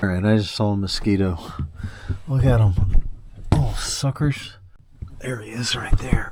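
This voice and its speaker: A man at medium pitch speaks at a moderate pace with ordinary pitch variation and big swings in loudness. He takes long, frequent pauses while music plays in the background. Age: 60s. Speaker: fishing vlogger. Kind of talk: casual vlog narration. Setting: outdoors. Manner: casual, chatty.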